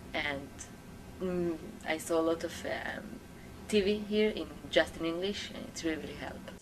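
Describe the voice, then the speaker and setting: A woman with an Israeli accent speaks at a moderate pace and a fairly low pitch, with fairly even intonation, long, frequent pauses and big swings in loudness. Noticeable background noise and audible room echo are present. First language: Hebrew. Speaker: English language student. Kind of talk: interview answers. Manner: halting.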